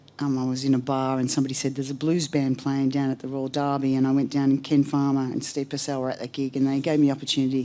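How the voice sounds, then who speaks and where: This woman's voice is very deep and low, with a dark, mellow tone and an Australian accent. She talks at a very fast pace. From Australia, Melbourne outskirts. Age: 60s. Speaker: blues singer, hall of fame inductee. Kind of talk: acceptance speech. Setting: stage with audience at music hall. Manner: casual, with many filler ums.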